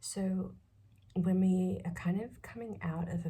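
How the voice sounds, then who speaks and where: Very slow, soft-spoken delivery. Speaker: tarot reader. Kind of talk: tarot reading. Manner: hesitant, many fillers.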